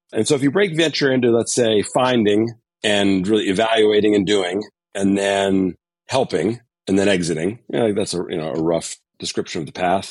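A normal speaking voice in an American accent, ordinary pitch variation, and a quiet background. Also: man, fairly low pitch for a man, moderate pace. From Connecticut, US. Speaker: venture capital investor. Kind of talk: interview.

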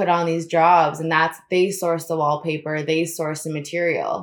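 A woman's fairly low voice with an American accent, flat, monotone intonation and a moderate pace. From Florida, US. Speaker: designer. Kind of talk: casual chat.

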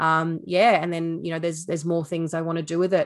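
Against a quiet background, a woman with an Australian accent speaks very fast in a fairly low pitch with monotone, flat intonation. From Sydney, Australia. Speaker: beef farmer and former TV reporter. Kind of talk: casual interview.

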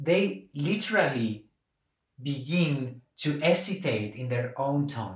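This man speaks at a very slow pace in a fairly high, somewhat breathy voice with lively intonation. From Argentina (Buenos Aires), raised also in Andalusia, Spain. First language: Spanish. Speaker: novelist. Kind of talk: interview about his book. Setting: podcast interview.

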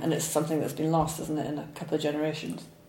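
The speaker has a Scottish accent. Noticeable background noise is present. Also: woman. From Scotland, Falkirk. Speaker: illustrator and author. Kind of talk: interview. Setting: studio.

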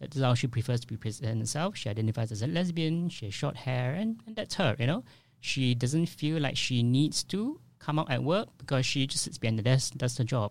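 A somewhat breathy man at medium pitch, fairly quick in pace, with lively intonation. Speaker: social worker. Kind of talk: interview. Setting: studio.

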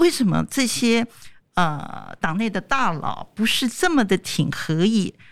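Recorded very cleanly against a silent background, a woman talks fairly slowly at a medium pitch, her voice making very wide pitch swings. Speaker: international news editor. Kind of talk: casual chat.

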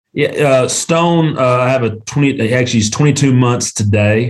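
A man with an Appalachian accent, at a fairly slow pace. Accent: US Southern (Appalachian North Carolina). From Western North Carolina (Canton). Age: 40s. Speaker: small-town mayor and lawyer. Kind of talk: interview conversation. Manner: animated.

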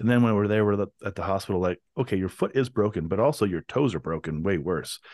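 With a quiet background behind him, a man races along at a very fast pace, his pitch varying in an ordinary way. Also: fairly low pitch for a man, dry, close sound with no echo. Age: 40s. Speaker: podcast host. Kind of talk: casual chat. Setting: video call.

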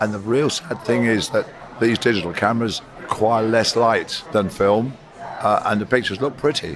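A man's medium-pitched voice at a moderate pace with ordinary pitch variation and music in the background. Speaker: cinematographer. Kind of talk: interview.

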